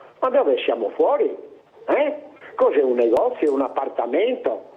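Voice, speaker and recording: Noticeable background noise sits under a man who speaks at a moderate pace. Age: 80s+. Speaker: caller. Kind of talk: call-in complaint. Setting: phone call. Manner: animated.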